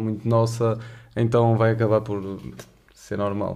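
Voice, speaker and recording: A man has an ordinary speaking voice. He talks at a moderate pace and a medium pitch. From Porto, northern Portugal. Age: 20s. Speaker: university student and podcast co-host. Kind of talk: casual chat.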